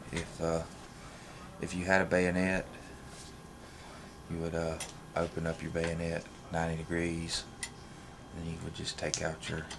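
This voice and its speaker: With noticeable background noise behind him, a man with a very deep, low pitch speaks at a moderate pace in a monotone, flat way, leaving long, frequent pauses. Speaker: firearms hobbyist. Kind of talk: tutorial walkthrough.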